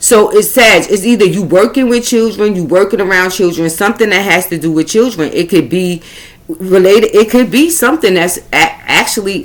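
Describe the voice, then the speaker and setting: A woman with a Brooklyn accent speaks at a moderate pace and medium pitch. Her intonation is lively. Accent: New York (Brooklyn). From Brooklyn, New York. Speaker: astrology and spiritual reader. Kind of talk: astrology reading monologue. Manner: halting, tongue-tied.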